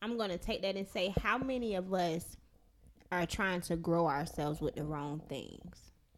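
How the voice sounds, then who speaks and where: A woman talks at a moderate pace in a fairly low pitch, with ordinary pitch variation. It is an ordinary speaking voice. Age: 20s. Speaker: podcast host. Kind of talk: casual chat. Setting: Facebook live stream and podcast recording.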